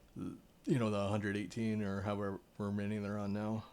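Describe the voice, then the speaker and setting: An American man with an American accent speaks at a fairly low pitch in a dark, mellow tone. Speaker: artist and storyteller. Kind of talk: reading aloud; casual chat.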